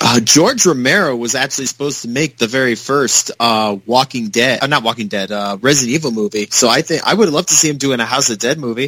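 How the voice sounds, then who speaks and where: A man talks at a very fast pace with hardly any pauses, his medium pitch showing ordinary variation. His tone is bright and sharp, and the sound is dry and close with no echo. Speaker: podcast co-host. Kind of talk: casual podcast chat.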